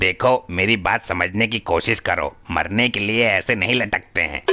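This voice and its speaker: A man's cartoonish character voice, fairly low in pitch, at a moderate pace with ordinary pitch variation. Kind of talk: comic overacting. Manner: stammering, searching for words.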